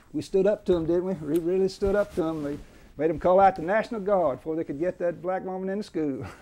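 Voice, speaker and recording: A man's high-pitched voice with a dark, mellow tone, fairly even intonation and an Alabama accent. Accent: Southern US (Alabama). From central Alabama, US South. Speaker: veteran trial lawyer; interviewee. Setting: law office. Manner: repeats words as he gathers thoughts, chuckles at old courtroom stories. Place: office.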